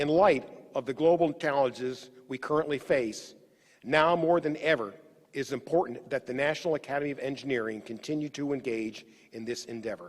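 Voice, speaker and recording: With an American accent, a man speaks in an ordinary speaking voice, using a fairly high pitch, ordinary pitch variation and a fairly quick pace. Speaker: executive officer of engineering academy. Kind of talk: formal ceremony speech. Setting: virtual online ceremony. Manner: formal.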